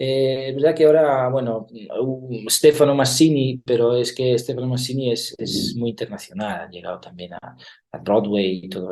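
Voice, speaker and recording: With a slight Italian accent, a man speaks at a moderate pace in a dark, mellow tone. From Italy. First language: Italian (speaking Spanish). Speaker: actor and theatre director. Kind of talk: interview. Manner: hesitant, many fillers.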